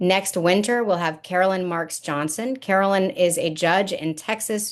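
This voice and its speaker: With an ordinary speaking voice, a woman talks at a moderate pace with fairly low pitch and ordinary pitch variation over a quiet background. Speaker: university gallery director. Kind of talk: online lecture presentation.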